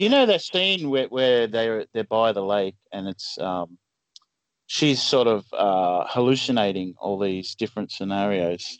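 A man with an Australian accent speaks at a fairly low pitch with ordinary pitch variation. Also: fairly slow pace. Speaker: film podcast guest. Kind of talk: casual chat.

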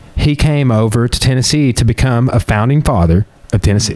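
With a Southern US accent, a man talks at a medium pitch over noticeable background noise. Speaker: podcast host and jiu-jitsu practitioner. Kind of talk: casual chat.

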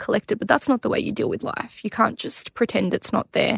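A woman's voice sits at a fairly high pitch with ordinary pitch variation. The sound is dry and close, with no echo. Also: very clean recording, silent background. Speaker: mother of a child with cancer. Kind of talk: personal testimony in interview. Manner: chatty.

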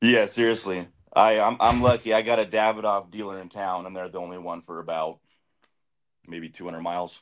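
A man with a plain, everyday voice, fairly low in pitch, speaks at a fairly quick pace with fairly even intonation and big swings in loudness. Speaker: viewer joining live chat. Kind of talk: casual chat. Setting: video call.

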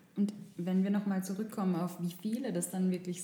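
A woman's somewhat breathy, dark, mellow voice at a fairly low pitch, with monotone, flat intonation. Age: 20s. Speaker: journalism student, podcast co-host. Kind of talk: casual chat. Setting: studio.

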